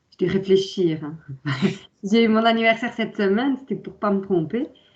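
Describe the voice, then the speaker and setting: Somewhat breathy, a woman speaks at a medium pitch with ordinary pitch variation. Her pace is moderate. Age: 40s. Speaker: transport company employee. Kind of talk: interview. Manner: hesitant, many fillers.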